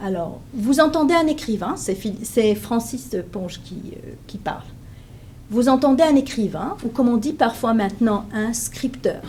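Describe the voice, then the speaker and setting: Against audible room echo, a woman speaks at a fairly slow pace with lively intonation. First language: Hebrew (speaking French). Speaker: professor. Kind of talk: lecture. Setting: conference room with audience. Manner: hesitant, many fillers.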